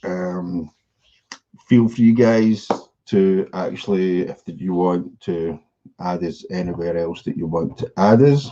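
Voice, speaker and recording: In a Scottish accent, a man speaks very slowly in a very deep, low voice with a dark, mellow tone and ordinary pitch variation. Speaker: e-commerce coach. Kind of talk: live stream presentation. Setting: live stream.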